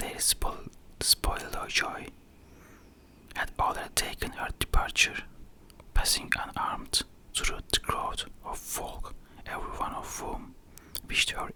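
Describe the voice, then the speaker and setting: Someone is whispering at a fairly slow pace. Noticeable background noise is present. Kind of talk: ASMR whispered book reading. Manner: whispered.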